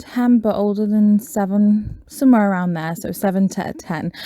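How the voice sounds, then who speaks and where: This woman has a British accent and a medium pitch. Her tone is dark and mellow. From Britain. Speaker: podcast host. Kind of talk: casual monologue. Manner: hesitant, many fillers.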